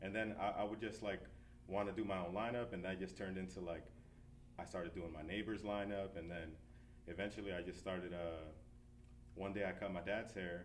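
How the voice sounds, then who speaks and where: A man with an American accent and a very deep, low pitch, fairly quick and fairly even in intonation, with audible room echo. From New Jersey, US. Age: 30s. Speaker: barber and shop owner. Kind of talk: interview. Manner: casual, relaxed.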